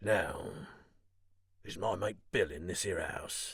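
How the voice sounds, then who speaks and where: A man's raspy, put-on character voice at a fairly low pitch and a fairly slow pace. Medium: read story. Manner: half fawning, half sneering.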